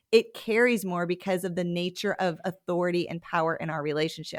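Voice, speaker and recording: A woman with an American accent and an unremarkable speaking voice talks at a fairly quick pace in a medium pitch, on a very clean recording with a silent background. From Montana. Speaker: church leadership consultant. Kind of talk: podcast interview.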